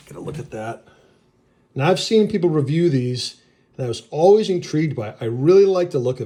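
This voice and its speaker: Somewhat breathy male speech in a New England accent, with a dark, mellow tone, lively intonation and a moderate pace. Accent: New England, noticeable. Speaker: knife reviewer. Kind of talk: product review. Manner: casual, enthusiastic.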